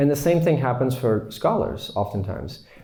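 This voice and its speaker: Here a man with an American accent has a dark, mellow, somewhat breathy tone at a medium pitch. He talks at a fairly quick pace, and audible room echo fills the recording. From US. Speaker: Islamic teacher. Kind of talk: lecture. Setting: retreat class with audience.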